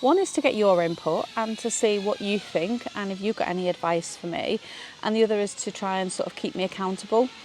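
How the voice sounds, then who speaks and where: The speaker talks at a fairly quick pace in a British accent, with ordinary pitch variation. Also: woman, medium pitch for a woman. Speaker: vlogger. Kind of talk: casual vlog talk. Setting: outdoors in a garden. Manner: hesitant, many fillers.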